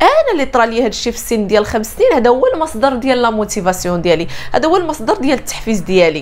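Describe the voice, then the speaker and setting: Talking at a very fast pace, a woman with a high pitch swings her pitch very widely. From Morocco. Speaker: life coach. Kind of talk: motivational talk to camera. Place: home room.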